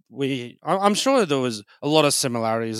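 A man with an Australian accent at a moderate pace, in a very clean recording with a silent background. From Brisbane, Australia. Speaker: comedian. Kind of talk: casual interview chat. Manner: halting, many fillers and repeats.

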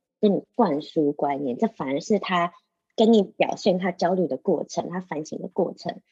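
A woman speaks with a dark, mellow tone and lively intonation, somewhat breathy. The sound is dry and close, with no echo. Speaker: podcast co-host. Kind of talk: casual discussion of a scholarly book. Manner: animated.

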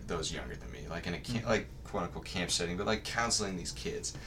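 A man's very deep, low pitch with audible room echo. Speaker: college student. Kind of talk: casual chat.

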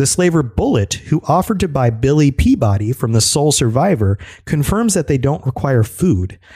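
The voice is somewhat breathy, with very even loudness and very wide pitch swings. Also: man. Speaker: podcast host. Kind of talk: casual chat; scripted narration. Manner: fast.

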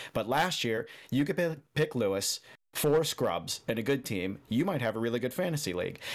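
An ordinary speaking voice, a man at medium pitch and a moderate pace with lively intonation, in a very clean recording with a silent background. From Chicago area, US Midwest. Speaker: motorsport podcast co-host, technician. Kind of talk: casual chat.

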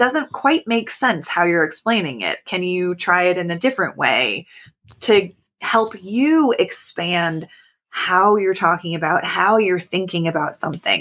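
A plain, everyday voice from a woman with a General American accent, medium in pitch, fairly slow, with lively intonation, on a very clean recording with a silent background. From US Pacific Northwest, Oregon. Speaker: creativity coach. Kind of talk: interview.

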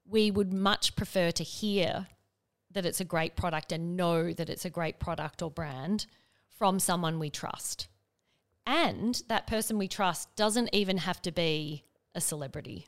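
A woman with an Australian accent speaks at a fairly slow pace in a fairly low voice, her pitch varying in an ordinary way, on a very clean recording with a silent background. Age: 40s. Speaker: business executive and investor. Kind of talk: casual chat. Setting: studio.

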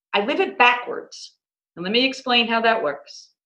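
A woman speaks at a high pitch with a bright, sharp tone. Room echo is audible. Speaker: business owner in mortgage industry. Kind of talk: interview. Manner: enthusiastic.

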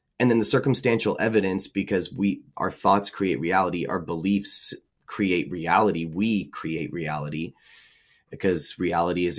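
In a very clean recording with a silent background, a man with an ordinary speaking voice talks at a moderate pace, his pitch fairly low and his intonation lively. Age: 20s. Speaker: transformational coach and musician. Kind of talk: casual chat.

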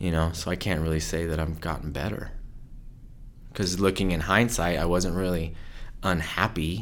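A man with an American accent speaks at a very deep, low pitch and a moderate pace. His intonation stays fairly even, with long, frequent pauses and audible room echo. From southern California and rural Idaho. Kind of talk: interview. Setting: studio in Idaho Falls. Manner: mellow.

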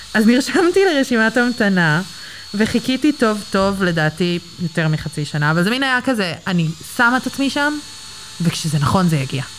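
Against noticeable background noise, a woman speaks at a moderate pace and a medium pitch, with very wide pitch swings and very even loudness. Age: 20s. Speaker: manicure client. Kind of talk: casual chat. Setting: nail salon studio. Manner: halting.

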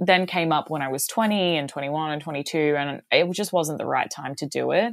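With an Australian accent, a woman speaks at a moderate pace in a very deep, low pitch with ordinary pitch variation, on a very clean recording with a silent background. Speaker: singer. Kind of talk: casual interview. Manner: animated.

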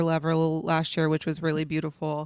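A woman with an American accent and a fairly low pitch, fairly quick in pace, on a very clean recording with a silent background. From Dallas, Texas (Oak Cliff). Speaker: comedian and actress. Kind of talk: casual chat.

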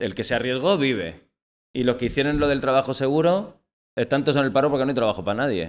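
A man with a medium-pitched voice and vocal fry speaks at a very fast pace with lively intonation. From Almería, Andalusia, Spain. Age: 40s. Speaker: playwright. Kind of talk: casual chat.

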